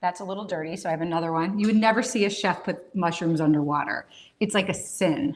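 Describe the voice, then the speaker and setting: A woman speaks at a very fast pace in a fairly low pitch. Her tone is animated. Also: ordinary pitch variation. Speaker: cooking show host. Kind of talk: live cooking demonstration. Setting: kitchen livestream.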